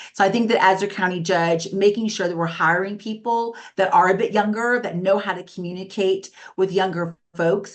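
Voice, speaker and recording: Delivery runs at a moderate pace in a normal speaking voice. Its intonation holds fairly even. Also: woman, medium pitch for a woman. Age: 50s. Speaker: politician, council member. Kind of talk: political debate. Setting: video call.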